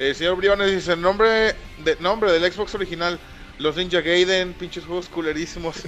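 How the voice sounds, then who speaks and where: This man speaks with a Mexican accent, a high pitch and fairly even intonation. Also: moderate pace. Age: 20s. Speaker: podcast host. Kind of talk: casual chat. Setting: live stream.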